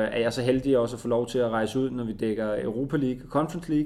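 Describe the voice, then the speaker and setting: A man with an unremarkable speaking voice, medium in pitch, with ordinary pitch variation. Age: 20s. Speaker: TV sports reporter and presenter. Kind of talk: casual interview.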